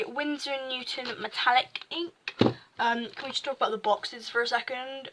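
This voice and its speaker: The speaker is a woman with a high voice. Noticeable background noise can be heard. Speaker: amateur artist vlogger. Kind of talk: casual sketchbook walkthrough. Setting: home desk recording. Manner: halting, stuttering.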